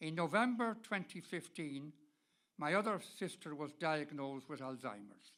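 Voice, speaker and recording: In a Dublin accent, a man speaks at a fairly slow pace with a bright, sharp tone and very wide pitch swings. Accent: Irish (Dublin). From Ireland, Dublin. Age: 80s+. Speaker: person living with Alzheimer's, speaker. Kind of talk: prepared talk to an audience.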